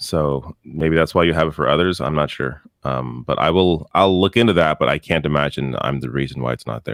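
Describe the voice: Talking at a fairly quick pace with a Canadian accent, a man's very deep, low voice carries vocal fry.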